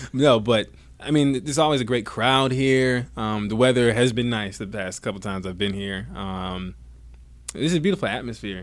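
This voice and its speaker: A man with an American accent talks at a medium pitch with ordinary variation. Audible room echo surrounds his voice. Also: moderate pace. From US South, Georgia. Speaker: dancer and stadium performer. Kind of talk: interview. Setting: baseball stadium.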